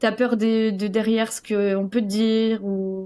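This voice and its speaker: A woman talks with a fairly high pitch. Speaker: coaching client sharing her story. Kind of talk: interview testimony. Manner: loud; hesitant, many fillers.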